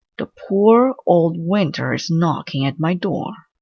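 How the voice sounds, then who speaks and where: A put-on character voice at a middle pitch moves at a fairly slow pace. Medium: read story. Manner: earnest, fretful.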